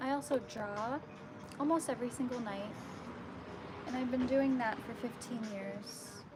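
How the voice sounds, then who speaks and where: A woman with an American accent speaks at a high pitch with fairly even intonation and a fairly slow pace, leaving long, frequent pauses over noticeable background noise. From New York. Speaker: artist livestreamer. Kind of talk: casual livestream chat.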